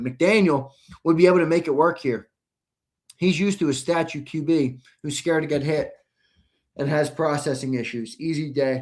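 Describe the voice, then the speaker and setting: In a put-on character voice, a raspy man with a fairly high pitch talks at a moderate pace, leaving long, frequent pauses. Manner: casual, offhand.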